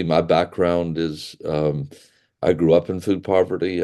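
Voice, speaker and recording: This man has a Southern US accent and a very deep, low pitch with a dark, mellow tone. He talks at a moderate pace with ordinary pitch variation. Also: quiet background. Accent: American Southern. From US South, rural. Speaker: pastor and charity director. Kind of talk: webinar presentation. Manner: halting, many fillers and repetitions.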